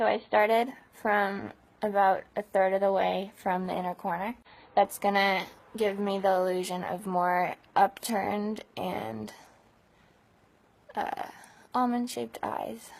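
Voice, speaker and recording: At a fairly slow pace, a woman with an American accent speaks with fairly even intonation and long, frequent pauses. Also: medium pitch for a woman. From California. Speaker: beauty vlogger. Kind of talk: tutorial. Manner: chatty.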